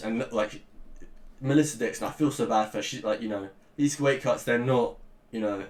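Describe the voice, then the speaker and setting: A man speaks with a Liverpool accent at a fairly quick pace. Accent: Scouse. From northern England, Liverpool. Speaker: MMA commentator, YouTuber. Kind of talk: casual rant. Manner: halting, many fillers.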